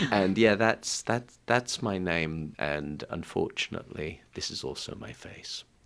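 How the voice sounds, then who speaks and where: A man with an English accent speaks at a fairly slow pace and a very deep, low pitch, with hardly any pauses. His intonation is lively and his loudness swings widely. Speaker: singer-songwriter. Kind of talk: casual chat. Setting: studio.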